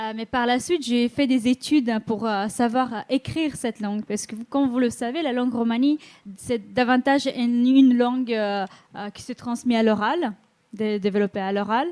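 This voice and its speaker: A woman with a high pitch talks at a moderate pace, her loudness swinging widely and her pitch varying in an ordinary way. The sound is dry and close with no echo. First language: Romani (speaking French). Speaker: school mediator. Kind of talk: conference panel talk. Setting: conference hall with audience. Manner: halting, many hesitations.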